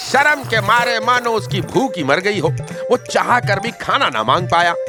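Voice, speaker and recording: With music playing in the background, a man speaks in very wide pitch swings. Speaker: storyteller. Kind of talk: folk tale narration. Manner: lively, expressive.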